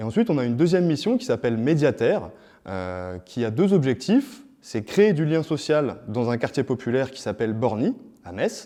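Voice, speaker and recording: Over a quiet background, a dark, mellow tone carries big swings in loudness and very wide pitch swings. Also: man, medium pitch for a man, moderate pace. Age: 30s. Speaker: youth volunteer program coordinator. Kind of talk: interview-style presentation. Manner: hesitant, many fillers.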